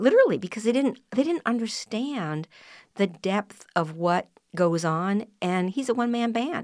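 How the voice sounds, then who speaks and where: Speaking with an American accent, a woman has an unremarkable speaking voice at a fairly high pitch. Her intonation is lively and her pace moderate. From US Midwest, northern Minnesota. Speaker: wine marketing writer. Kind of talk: casual chat.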